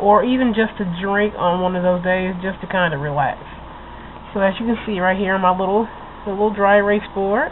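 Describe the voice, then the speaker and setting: A woman with fairly even intonation against noticeable background noise. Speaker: vlogger. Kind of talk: casual tutorial vlog.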